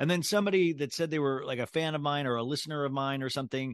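Over a quiet background, a man with an American accent talks at a very fast pace with ordinary pitch variation. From Kansas. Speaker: podcast host. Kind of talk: casual interview.

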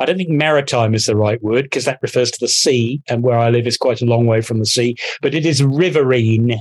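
A man speaks in a normal speaking voice at medium pitch, fairly quickly and with hardly any pauses. His loudness stays very even and his pitch varies in an ordinary way. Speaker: podcast guest. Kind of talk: casual banter, comedic chat.

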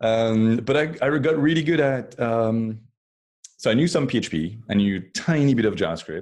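A man's medium-pitched voice with a French accent, lively in intonation at a moderate pace, with long, frequent pauses against a quiet background. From France. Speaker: design systems engineer. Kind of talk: casual interview.

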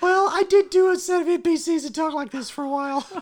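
The speaker uses a put-on character voice at an extremely high pitch. The pace is fairly quick. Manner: whispering.

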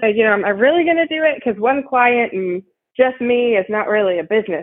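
This woman has an ordinary speaking voice. She talks at a fairly quick pace with lively intonation. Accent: American. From US Midwest, Ohio. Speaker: marketing agency founder. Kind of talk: interview.

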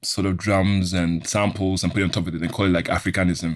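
The delivery moves at a moderate pace. It is a very clean recording with a silent background. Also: man. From Switzerland, Ghanaian family. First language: German. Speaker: sound engineer and tech entrepreneur. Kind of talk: interview.

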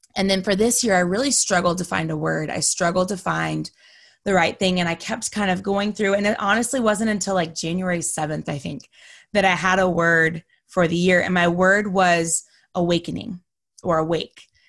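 Against a quiet background, a woman speaks with an American accent. Her pitch is medium and her pace moderate. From Texas. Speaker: podcaster. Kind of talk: interview conversation. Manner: animated.

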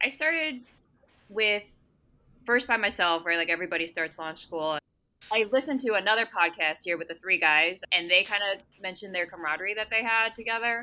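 Her tone is bright and sharp, at a medium pitch for a woman. She moves at a fairly quick pace with lively intonation. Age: 30s. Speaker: former dentist, coding student. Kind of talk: casual group interview.

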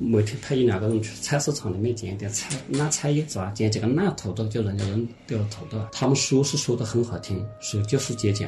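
The speech has hardly any pauses and ordinary pitch variation. Noticeable background noise sits behind it. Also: man, medium pitch for a man, fairly quick pace. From Hunan, Xinhua county. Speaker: former film actor and odd-job worker. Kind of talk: casual interview. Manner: hesitant, many fillers.

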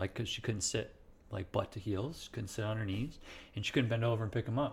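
Somewhat breathy and fairly low-pitched, a man talks with an American accent and fairly even intonation. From US Midwest, central Illinois. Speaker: chiropractor. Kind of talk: interview. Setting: at guest's home.

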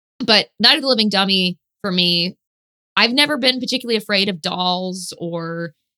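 This woman talks at a moderate pace in a medium pitch with lively intonation and a bright, sharp tone, the sound dry and close with no echo. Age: 30s. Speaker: guest. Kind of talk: casual chat.

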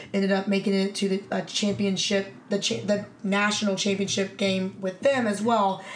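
Speaking at a moderate pace with hardly any pauses, this is a normal speaking voice with fairly even intonation and very even loudness. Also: woman, medium pitch for a woman. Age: 30s. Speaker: women's football quarterback. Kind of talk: casual chat. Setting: at her home.

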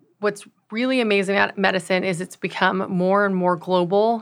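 A woman with a plain, everyday voice speaks at medium pitch in an American accent. Her pace is moderate, and the recording is very clean with a silent background. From US West Coast, Los Angeles. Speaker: surgeon. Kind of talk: interview. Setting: studio.

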